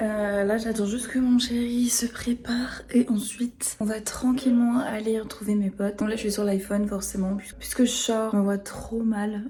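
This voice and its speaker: A woman speaks at a moderate pace in a fairly high voice. Noticeable background noise sits behind her. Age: 20s. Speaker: lifestyle vlogger. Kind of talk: vlog monologue. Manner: casual; whispering.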